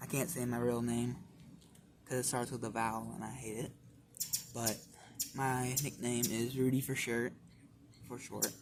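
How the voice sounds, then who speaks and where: Over noticeable background noise, a man speaks at a medium pitch in a flat, monotone way with long, frequent pauses. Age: young. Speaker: origami tutorial maker. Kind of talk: tutorial. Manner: casual.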